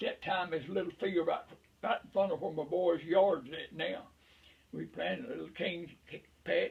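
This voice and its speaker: Long, frequent pauses break up this man's moderate pace. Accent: rural Southern US. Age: 80s+. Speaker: veteran beekeeper. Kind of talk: casual chat.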